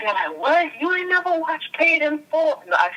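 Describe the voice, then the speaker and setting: Moderate-paced speech from a woman against noticeable background noise. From Jamaica. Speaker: educator. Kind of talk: podcast interview. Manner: animated.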